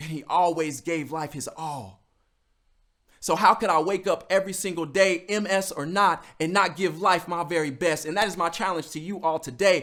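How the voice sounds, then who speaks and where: An animated man's high-pitched voice, bright and sharp in tone, with ordinary pitch variation at a moderate pace on a very clean recording with a silent background. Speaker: motivational speaker. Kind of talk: motivational talk.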